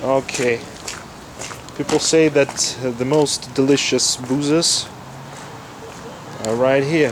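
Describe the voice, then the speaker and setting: With a Russian accent, a man speaks at a very slow pace in a fairly high, monotone, flat voice, leaving long, frequent pauses amid noticeable background noise. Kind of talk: casual walking-tour talk to camera. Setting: outdoors.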